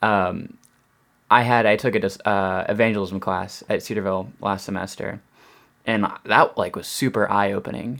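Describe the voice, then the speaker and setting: A man with an ordinary speaking voice talks at a moderate pace in a fairly low pitch with fairly even intonation. The recording is very clean, with a silent background. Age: young. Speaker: customer service worker and bible student. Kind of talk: casual chat.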